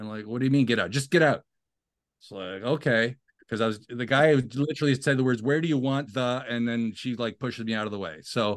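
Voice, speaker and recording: In an ordinary speaking voice with ordinary pitch variation, the speaker goes at a fairly quick pace against a quiet background. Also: man. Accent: Canadian. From Canada (Ottawa). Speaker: TV writer and composer. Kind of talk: interview.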